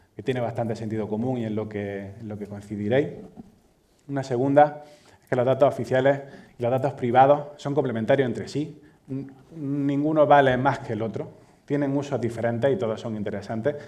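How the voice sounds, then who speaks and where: Speaking with an Andalusian accent at a fairly quick pace, a man with a dark, mellow tone and medium pitch shows ordinary pitch variation and big swings in loudness, leaving long, frequent pauses amid audible room echo. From Andalusia, Spain. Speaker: data manager, conference speaker. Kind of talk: conference keynote talk. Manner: halting, many fillers and repetitions.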